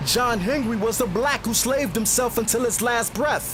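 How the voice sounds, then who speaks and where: A man speaks at a moderate pace with a high pitch. Music plays in the background. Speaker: spoken word poet. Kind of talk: spoken word poetry performance.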